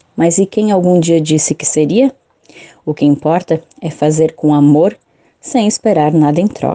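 Dry and close with no echo, a woman's fairly low voice has a dark, mellow tone, ordinary pitch variation and a fairly slow pace broken by long, frequent pauses. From Santa Catarina, southern Brazil. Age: 30s. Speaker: journalist and parish communicator. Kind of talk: interview.

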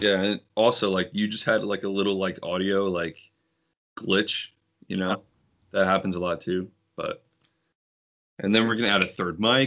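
Over a quiet background, a man speaks at a moderate pace in a fairly low pitch, with long, frequent pauses. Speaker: baseball podcast co-host. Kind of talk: casual chat. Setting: remote call over Skype.

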